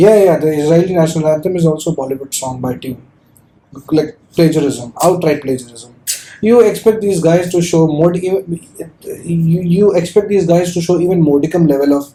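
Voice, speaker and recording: A man with a high pitch talks at a fairly quick pace with ordinary pitch variation and long, frequent pauses amid noticeable background noise. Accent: non-native. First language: not English. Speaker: podcast host. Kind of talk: casual chat. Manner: halting.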